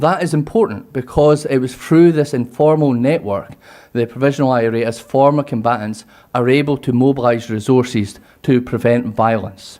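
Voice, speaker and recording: With a Scottish accent, a man speaks in a dark, mellow tone with ordinary pitch variation. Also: medium pitch for a man, moderate pace. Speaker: university lecturer in security studies. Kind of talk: conference presentation.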